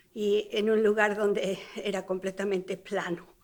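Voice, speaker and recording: On a very clean recording with a silent background, a woman with a Spanish accent speaks at a moderate pace, her fairly high voice keeping a fairly even intonation. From Mexico City. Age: 70s. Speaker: retired teacher and interviewee. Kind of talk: life story interview. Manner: hesitant with fillers.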